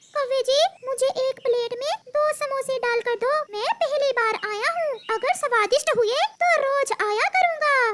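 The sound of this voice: An extremely high-pitched, cartoonish character voice goes at a fairly slow pace with hardly any pauses.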